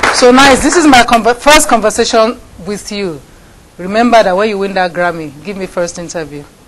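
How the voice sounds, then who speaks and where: Over noticeable background noise, a woman speaks at a fairly quick pace in a medium pitch. Her intonation is lively and her loudness swings widely. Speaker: TV talk show host. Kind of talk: interview. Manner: animated.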